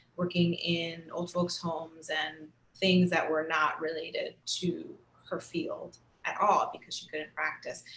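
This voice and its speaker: Noticeable background noise is present here. Over it, a woman talks at a fairly slow pace. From Cuba. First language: Spanish. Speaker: actor. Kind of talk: panel discussion.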